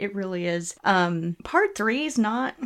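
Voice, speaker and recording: In a very clean recording with a silent background, a woman speaks at a medium pitch with lively intonation in an ordinary speaking voice. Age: 30s. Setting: home recording with two mics.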